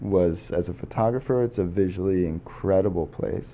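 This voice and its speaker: A man with a fairly low pitch and ordinary pitch variation has an ordinary speaking voice. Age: 30s. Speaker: documentary filmmaker. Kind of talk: interview.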